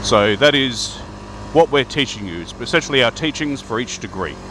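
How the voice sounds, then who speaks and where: Noticeable background noise runs beneath a man talking in an Australian accent. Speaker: Freemason video host. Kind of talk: casual talk to camera. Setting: outdoors riding a bike.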